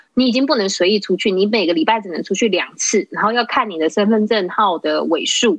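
A woman with an unremarkable speaking voice talks at a fairly quick pace in a fairly high voice, with lively intonation and hardly any pauses. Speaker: hotel worker. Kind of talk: casual chat.

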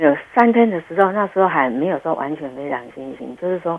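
A woman is speaking. Her pace is fairly quick. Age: 60s. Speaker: listener and heart attack survivor. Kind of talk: phone interview, personal testimony.

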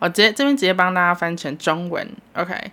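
A woman speaks in a fairly low voice with a bright, sharp tone. Her delivery is animated. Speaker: solo podcast host. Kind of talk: casual solo monologue. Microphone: new microphone.

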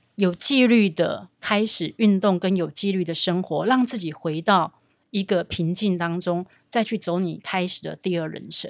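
On a very clean recording with a silent background, a woman speaks at a fairly slow pace and medium pitch with ordinary pitch variation. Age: 50s. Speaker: recruitment company executive. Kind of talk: interview. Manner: energetic.

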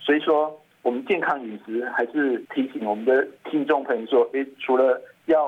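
A man with a plain, everyday voice at a moderate pace. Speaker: physician, toxicology expert. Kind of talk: health interview.

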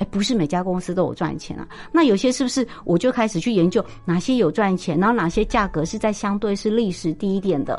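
A woman talks at a fairly quick clip with hardly any pauses. Her voice sits at a medium pitch and her intonation is lively. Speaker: business professor and investment author. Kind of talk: interview. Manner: animated.

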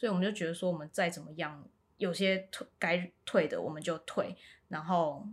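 A woman with an unremarkable speaking voice talks in a fairly low pitch with ordinary pitch variation and big swings in loudness. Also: moderate pace. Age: 30s. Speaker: local council candidate. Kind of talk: interview.

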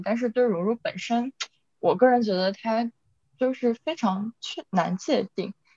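Speaking at a moderate pace with a slight Northeast Chinese accent, a woman uses a fairly high pitch and ordinary pitch variation, recorded with a dry, close sound with no echo. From Inner Mongolia, Chifeng (near Northeast China). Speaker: podcast co-host, graduate student. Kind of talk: casual chat.

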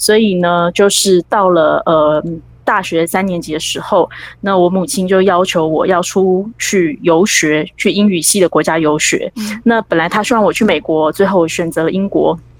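The woman has an unremarkable speaking voice, with a medium pitch, fairly even intonation, and a moderate pace. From Taiwan. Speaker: author. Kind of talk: interview. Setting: remote call.

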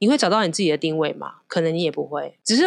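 A woman talks at a very fast pace. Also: quiet background. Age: 40s. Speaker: flight attendant and designer. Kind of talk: casual chat. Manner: animated.

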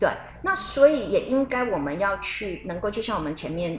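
A woman speaks in a plain, everyday voice at a moderate pace, her intonation lively. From Taiwan. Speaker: radio co-host. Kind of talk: radio talk show chat.

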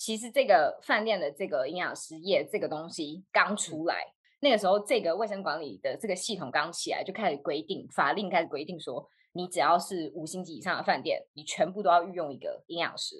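A woman with an unremarkable speaking voice, medium in pitch, talks at a fairly quick pace with hardly any pauses. Her intonation is lively, and her loudness swings widely. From Taiwan. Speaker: dietitian, graduate student. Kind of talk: casual chat. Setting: video call.

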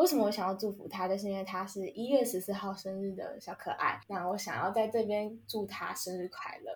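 Over noticeable background noise, a woman at a medium pitch talks at a fairly quick pace with hardly any pauses and fairly even intonation. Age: 20s. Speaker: podcast host. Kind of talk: casual chat.

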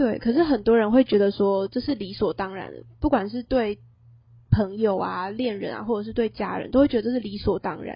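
The woman's voice is fairly high and somewhat breathy. Her pitch varies in an ordinary way. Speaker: university student podcast co-host. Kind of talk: casual chat.

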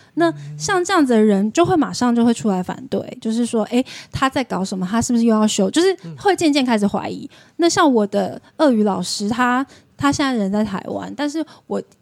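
A woman's fairly high voice with very wide pitch swings, in dry, close sound with no echo. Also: fairly quick pace. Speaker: podcast guest who lived in Russia. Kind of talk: casual chat.

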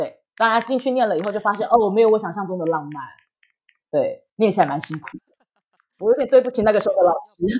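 The delivery races at a very fast pace with lively intonation, broken by long, frequent pauses. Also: woman, fairly high pitch for a woman, big swings in loudness. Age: 30s. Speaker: writer. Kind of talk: interview.

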